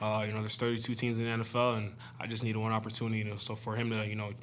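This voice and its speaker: Speaking very fast at a medium pitch, a man holds a monotone, flat intonation amid audible room echo. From Canada. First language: French. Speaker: football player. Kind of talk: press conference. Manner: many filler words (uh, you know).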